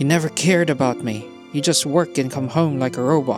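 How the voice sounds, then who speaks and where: Background music behind a male voice. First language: not English. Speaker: story narrator. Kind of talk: emotional short story reading.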